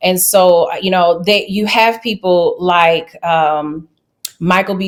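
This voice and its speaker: A woman with a Louisiana accent and ordinary pitch variation. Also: very clean recording, silent background. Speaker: travel nurse. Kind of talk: interview.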